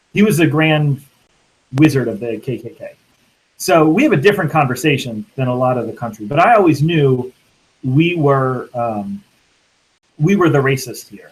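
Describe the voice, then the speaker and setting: The speech is somewhat breathy, with long, frequent pauses and big swings in loudness. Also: man, fairly high pitch for a man, lively intonation, moderate pace. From Louisiana. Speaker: minister. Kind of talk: panel discussion.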